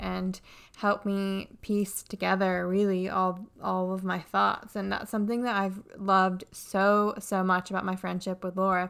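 A woman talks in a plain, everyday voice at a fairly slow pace. The recording is very clean with a silent background. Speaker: podcast host. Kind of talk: casual chat interview.

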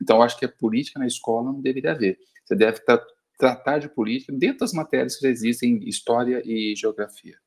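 Here a man talks at a very fast pace in a medium pitch. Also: ordinary pitch variation. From Brazil, Uberlândia (Minas Gerais). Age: 50s. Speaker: physician. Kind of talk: panel discussion.

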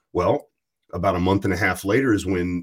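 This man's voice sits fairly low and comes out somewhat breathy. He talks at a moderate pace on a very clean recording with a silent background. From US South, rural Virginia. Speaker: podcast host. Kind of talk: casual chat.

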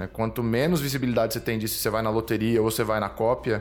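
A man talks at a very fast pace, his medium-pitched voice held to fairly even intonation. Music plays in the background. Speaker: podcast host. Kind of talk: interview.

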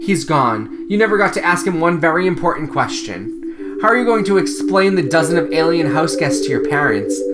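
A man's fairly high voice at a moderate pace, with very wide pitch swings and noticeable background noise. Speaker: podcast host. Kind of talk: dramatic narration of a children's horror book, read aloud. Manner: suspenseful, hushed and theatrical, with a campy tone.

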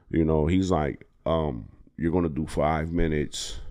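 Speaking with an American accent at a fairly slow pace, a man uses a very deep, low pitch and a dark, mellow tone with ordinary pitch variation, in a very clean recording with a silent background. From Harrisburg, Pennsylvania. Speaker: comedian. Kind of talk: casual chat.

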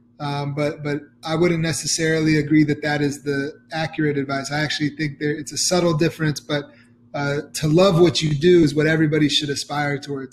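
Speaking at a moderate pace with an American accent, this somewhat breathy voice holds a monotone, flat intonation. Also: man. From US South, Atlanta, Georgia. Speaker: startup CEO. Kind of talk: interview. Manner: halting, many fillers.

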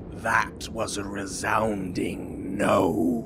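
Over loud background noise, a man booms in a put-on character voice at a fairly low pitch. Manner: resounding, dramatic.

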